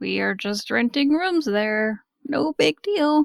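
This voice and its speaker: Slow-paced and high-pitched, a woman performs a put-on character voice at a fairly slow pace. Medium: actual play.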